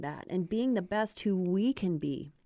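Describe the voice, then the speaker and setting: Speaking at a fairly slow pace with a dark, mellow tone, a woman with an American accent uses lively intonation at a medium pitch over a quiet background. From Ohio. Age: 50s. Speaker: life coach. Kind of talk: casual chat.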